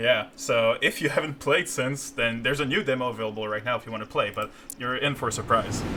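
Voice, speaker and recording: Against noticeable background noise, a man talks very fast at medium pitch with ordinary pitch variation. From Quebec, Canada. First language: French. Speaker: game designer. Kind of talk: live stream gameplay commentary. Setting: live stream. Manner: halting, many fillers.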